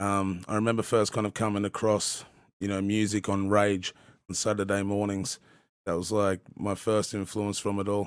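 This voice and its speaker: In an Australian accent, a man with a fairly low pitch talks at a moderate pace in a flat monotone, on a very clean recording with a silent background. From Australia, southern Tasmania. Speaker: hip-hop podcast host and rapper. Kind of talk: casual chat. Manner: stuttering; casual, halting with fillers.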